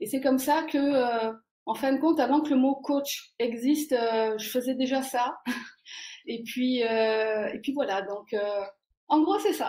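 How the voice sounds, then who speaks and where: A woman speaks at a very slow pace with a high pitch. Her tone is dark and mellow, with ordinary pitch variation. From France, Provence (Marseille). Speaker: life coach. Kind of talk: interview. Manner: hesitant, many fillers.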